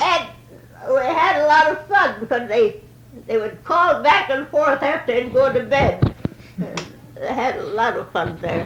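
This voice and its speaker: A high-pitched woman with very wide pitch swings at a fairly slow pace, over noticeable background noise. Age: 80s+. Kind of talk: oral history interview answer.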